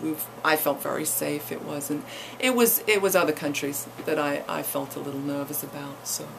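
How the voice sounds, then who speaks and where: Speech at a moderate pace with audible echo from the room. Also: woman. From England, East Anglia. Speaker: college president's wife, former actress. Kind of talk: radio interview. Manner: halting, many fillers and repetitions.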